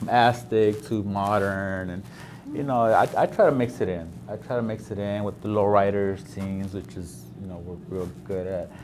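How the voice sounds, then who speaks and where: With lively intonation and big swings in loudness, a man speaks at a moderate pace in a fairly low pitch over audible room echo. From South Central Los Angeles. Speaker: painter. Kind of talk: interview. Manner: halting, many fillers.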